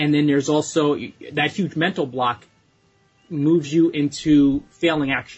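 Music plays in the background as a man speaks at a fairly slow pace. His fairly high voice stays monotone and flat. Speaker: blogging coach. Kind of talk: podcast advice answering a listener question.

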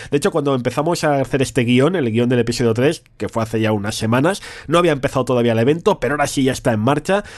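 This man's pitch is in the middle range. He races along very quickly. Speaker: podcast co-host. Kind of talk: casual chat. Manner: animated.

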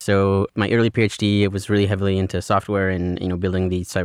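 A man rattles along at a very fast pace in a fairly low, monotone, flat voice. The sound is dry and close with no echo, on a very clean recording with a silent background. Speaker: postdoctoral researcher. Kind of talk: casual interview. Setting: studio.

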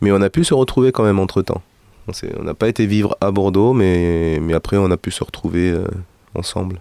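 A man with a fairly low pitch and a dark, mellow tone speaks with long, frequent pauses. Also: ordinary pitch variation, moderate pace. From Peru, South America, Middle East and Europe. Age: 40s. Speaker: musician and singer. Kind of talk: interview.

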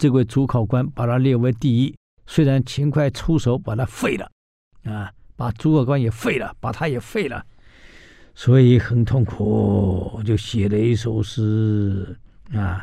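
Speaking at a very slow pace with long, frequent pauses, a man uses a dark, mellow tone at medium pitch with ordinary pitch variation. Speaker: radio history show host. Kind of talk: radio storytelling lecture. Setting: radio studio. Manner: animated, many filler particles.

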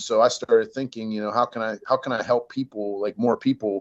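An unremarkable speaking voice from a man at medium pitch, delivered at a fairly quick pace. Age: 40s. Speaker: retired judge and family law consultant. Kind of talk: casual interview. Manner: casual, filler-heavy.

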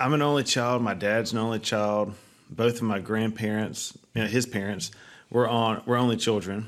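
A moderate pace with ordinary pitch variation. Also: man. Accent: Alabama. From North Alabama. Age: 30s. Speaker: pest control company CEO and nonprofit founder. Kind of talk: interview.

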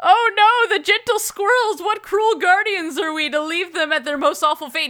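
A woman uses a put-on character voice pitched extremely high. She keeps a moderate pace. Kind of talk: posh, fancy. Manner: dramatic, pompous.

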